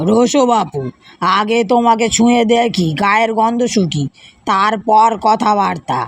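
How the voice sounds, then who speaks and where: A gruff, put-on character voice drawls out the words at a very slow pace. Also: woman, fairly high pitch for a woman. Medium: read story. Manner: wary, suspicious, gruff.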